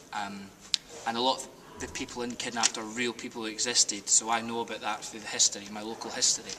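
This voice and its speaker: A man with a West Highland Scottish accent talks at a very fast pace in a medium pitch, his flat, monotone delivery marked by big swings in loudness over noticeable background noise. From Scotland, Argyll. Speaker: stage actor. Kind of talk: casual interview.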